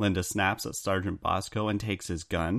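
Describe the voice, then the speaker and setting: Deadpan in tone, a man speaks fairly quickly at a fairly low pitch. The recording is very clean, with a silent background. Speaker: podcast co-host. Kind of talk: casual chat.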